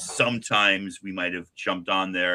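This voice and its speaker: A man's fairly low voice with an American accent. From Long Island, New York (Port Washington). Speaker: comics podcast host. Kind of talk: casual chat. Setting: live stream. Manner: animated.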